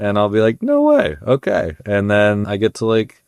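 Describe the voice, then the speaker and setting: A man speaks at a moderate pace with a fairly low pitch. It is a normal speaking voice. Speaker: radio producer and podcast creator. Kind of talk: casual podcast interview answer.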